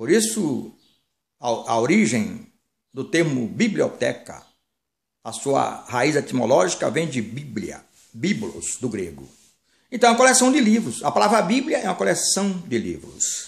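With vocal fry and a fairly high pitch, a man speaks fairly slowly, his pitch swinging very widely between long, frequent pauses. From Brazil, Bahia (Salvador); Bahia, Brazil. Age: 60s. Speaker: minister, former pastor. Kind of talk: sermon-style monologue. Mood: earnest, warning tone. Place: home room. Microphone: phone near.

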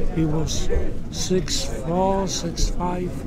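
A man speaks very slowly over loud background noise. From Poland. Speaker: Holocaust survivor. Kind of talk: interview answer. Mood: intense, emotional recollection. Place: hall. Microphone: phone near.

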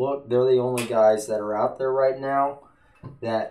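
The speaker is a man. Behind him, the background stays quiet. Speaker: political vlogger. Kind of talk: casual vlog chat. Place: home room. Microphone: studio mic.

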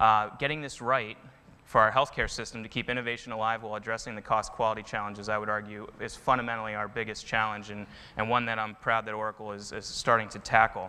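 Speaking very fast, a man delivers monotone, flat intonation at a fairly low pitch with a bright, sharp tone. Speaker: presenter. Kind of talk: conference talk. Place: stage. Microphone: lapel.

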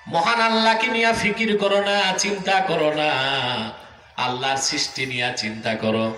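A man's raised, projected voice carries audible room echo. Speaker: religious preacher. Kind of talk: sermon. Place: stage.

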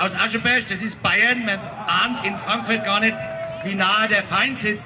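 Raised and projected, the voice moves at a moderate pace over noticeable background noise. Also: man. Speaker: speaker, comedian. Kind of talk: satirical political speech. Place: street.

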